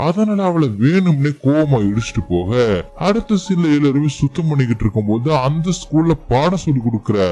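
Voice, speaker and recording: A man's pitch swings very widely. Background noise is noticeable. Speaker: movie explainer. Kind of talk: movie recap narration. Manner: casual, conversational.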